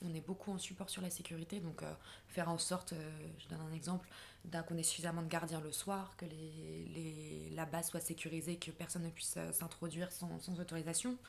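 A somewhat breathy woman's voice with a fairly low pitch. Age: 20s. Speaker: humanitarian logistician. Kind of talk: interview.

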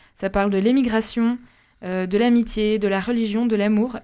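A woman speaks at a moderate pace in a fairly high voice, her tone dark and mellow and her intonation flat and monotone. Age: 20s. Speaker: radio panelist. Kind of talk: casual chat.

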